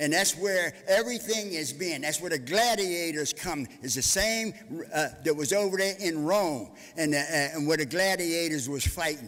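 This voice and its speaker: At a moderate pace, a man speaks in a high voice with lively intonation. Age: 70s. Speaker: public commenter at council meeting. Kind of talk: public comment. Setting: council chamber. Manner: halting.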